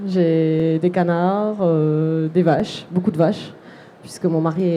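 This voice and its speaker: In a southwestern French accent, a woman with a fairly low pitch speaks at a very slow pace. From southwest France (Lot, near Figeac). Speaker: artisan entrepreneur, seamstress. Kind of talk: live interview at a trade fair. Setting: trade fair stand, live broadcast.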